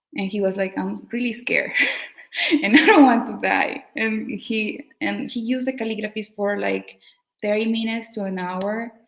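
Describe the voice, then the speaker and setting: With a non-native accent, a woman speaks at a fairly slow pace, her medium pitch showing ordinary pitch variation. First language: not English. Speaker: community member sharing healing story. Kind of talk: testimony. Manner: halting.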